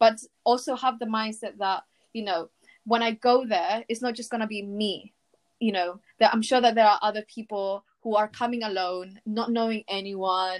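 A woman at fairly high pitch, with a normal speaking voice and fairly even intonation, speaks at a moderate pace, the sound dry and close with no echo on a very clean recording with a silent background. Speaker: university student guest. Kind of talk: casual interview.

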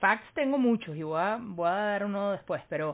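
An unremarkable speaking voice belongs to this woman at medium pitch. She talks at a moderate pace with lively intonation. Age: 20s. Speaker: podcast co-host. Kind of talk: casual chat.

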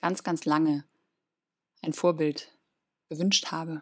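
On a very clean recording with a silent background, a woman speaks in a very deep, low pitch with monotone, flat intonation. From Germany, near Cologne. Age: 30s. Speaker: podcast host, spiritual coach. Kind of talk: personal monologue.

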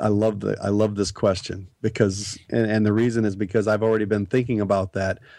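The man speaks with an American accent and a dark, mellow tone at a fairly low pitch. He keeps a moderate pace over a quiet background. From Nebraska. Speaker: author and former truck driver. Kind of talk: interview. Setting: studio.

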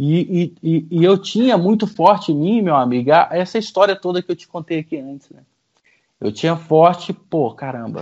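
A man with a high pitch and lively intonation talks at a moderate pace with big swings in loudness. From Goiânia, central Brazil. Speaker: franchise business owner. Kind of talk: interview, life story.

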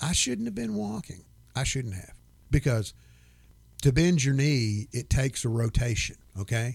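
A man talks in a somewhat breathy voice. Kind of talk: casual chat.

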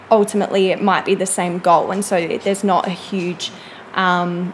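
Noticeable background noise runs under this recording. A woman speaks at a medium pitch and a moderate pace. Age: 20s. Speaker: personal trainer and psychology student. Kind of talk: casual interview chat.

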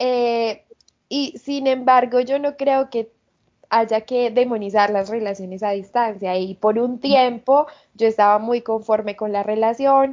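A woman speaks very slowly with fairly even intonation. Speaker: podcast host. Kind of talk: casual chat.

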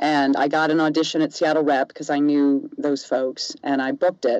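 A woman with a very deep, low pitch and a dark, mellow tone speaks at a moderate pace, the sound dry and close with no echo. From US South. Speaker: voice actor. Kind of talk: interview. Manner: animated.

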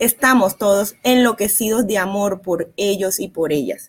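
In a plain, everyday voice, a woman speaks at a fairly slow pace with ordinary pitch variation. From Barranquilla, Colombia. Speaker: psychologist. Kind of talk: advice talk on parenting.

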